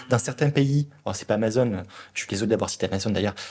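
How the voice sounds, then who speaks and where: On a very clean recording with a silent background, a man with a Toulouse accent speaks at a fairly low pitch with ordinary pitch variation. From southern France, Toulouse. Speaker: product leader at a large company. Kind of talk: interview. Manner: hesitant, many fillers.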